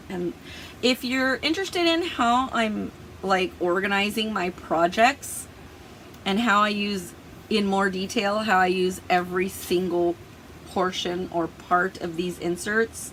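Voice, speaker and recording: Noticeable background noise around a woman's fairly slow speech, medium in pitch, with ordinary pitch variation. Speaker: planner and productivity YouTuber. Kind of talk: tutorial. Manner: casual, chatty with fillers.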